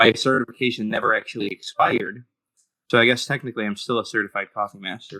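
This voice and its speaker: A loud man with a medium pitch, very fast delivery, fairly even intonation and a bright, sharp tone, in a dry, close sound with no echo. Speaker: animator and audio editor, podcast guest. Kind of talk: casual chat.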